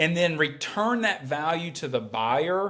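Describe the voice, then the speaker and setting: A man with a North Carolina accent speaks with ordinary pitch variation. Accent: Southern US, North Carolina. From rural North Carolina. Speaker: healthcare company executive. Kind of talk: podcast interview.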